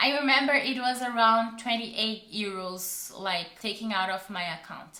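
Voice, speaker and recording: A woman with a non-native accent speaks fairly slowly at a fairly high pitch. Noticeable background noise and audible room echo are present. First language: not English. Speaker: travel vlogger. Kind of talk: travel guide talk to camera. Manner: halting.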